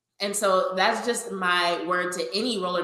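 Monotone, flat intonation comes through noticeable background noise and audible room echo. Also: woman. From Louisiana. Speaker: sports podcast host and roller derby skater. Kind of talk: casual chat.

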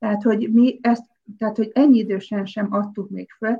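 With a dark, mellow, somewhat breathy tone, a woman speaks at a fairly high pitch and a moderate pace. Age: 50s. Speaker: stylist and former basketball player. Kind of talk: casual interview.

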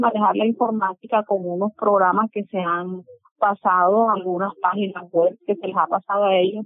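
A woman's medium-pitched voice carries fairly even intonation at a moderate speed. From Colombia, Sucre. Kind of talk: interview. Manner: halting.

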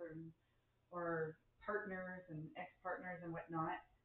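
A woman with a normal speaking voice talks at a medium pitch with fairly even intonation. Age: 50s. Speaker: spiritual circle participant. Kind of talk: casual chat. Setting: live recording.

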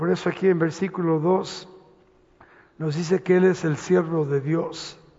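Noticeable background noise sits under the speech. The delivery moves at a fairly slow pace. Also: man. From Los Angeles, US (born Mexico City, moved at 10). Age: 70s. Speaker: pastor. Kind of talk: sermon. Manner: halting.

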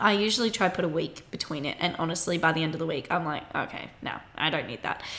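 A woman talks with an Australian accent. She moves at a fairly quick pace, with ordinary pitch variation. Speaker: podcast host, university student. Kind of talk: casual chat.

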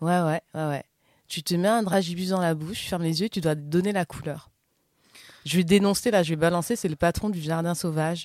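On a very clean recording with a silent background and a dry, close sound with no echo, a woman with an ordinary speaking voice talks at a fairly quick pace and a fairly low pitch with fairly even intonation. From southern France. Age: 40s. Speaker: podcast host. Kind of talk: casual chat.

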